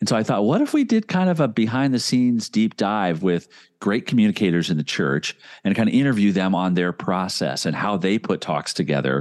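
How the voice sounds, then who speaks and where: In a plain, everyday voice with a fairly low pitch and an American accent, a man speaks at a fairly quick pace with lively intonation and very even loudness, the sound dry and close with no echo. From US Midwest, Indianapolis, Indiana. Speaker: young adult minister and podcast host. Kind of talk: interview.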